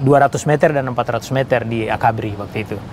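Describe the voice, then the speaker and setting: Amid noticeable background noise, a man speaks at a fairly quick pace with a Papuan accent. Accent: Papuan Indonesian. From Papua, Indonesia (Serui, Yapen islands). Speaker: retired army general. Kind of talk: interview testimony.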